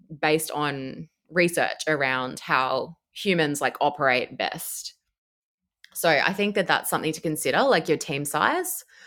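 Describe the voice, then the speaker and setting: In a very clean recording with a silent background, a woman with an Australian accent speaks at a moderate pace in a very deep, low voice with a bright, sharp tone. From Australia, Brisbane. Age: 30s. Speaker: cloud engineer. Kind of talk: casual interview.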